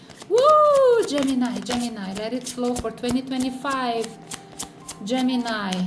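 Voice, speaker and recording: An animated, fairly slow voice in a Brazilian accent, with ordinary pitch variation, audible room echo and noticeable background noise. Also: woman. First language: Portuguese. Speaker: tarot reader. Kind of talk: tarot reading.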